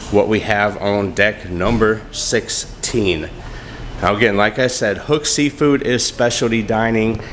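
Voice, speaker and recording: With noticeable background noise, a man speaks at a fairly slow pace in a fairly low pitch, with ordinary pitch variation. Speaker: travel vlogger giving ship tour. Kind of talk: walkthrough tour narration. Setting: on a cruise ship, walking. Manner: casual, conversational.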